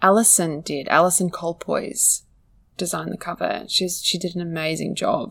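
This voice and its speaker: The speaker is a woman with an Australian accent. She keeps to a moderate pace. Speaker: writer and author. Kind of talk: interview.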